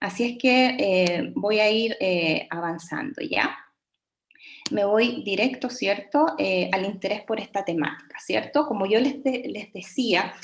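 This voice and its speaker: Ordinary pitch variation marks the speech, which unfolds at a fairly slow pace. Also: woman. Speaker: education researcher and teacher. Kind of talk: webinar lecture. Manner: hesitant, many fillers.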